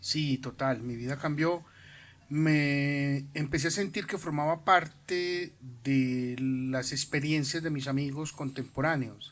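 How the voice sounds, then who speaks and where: The recording is very clean, with a silent background. A man speaks at a very slow pace and a fairly high pitch, his intonation fairly even. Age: 60s. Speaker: school principal. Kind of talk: interview.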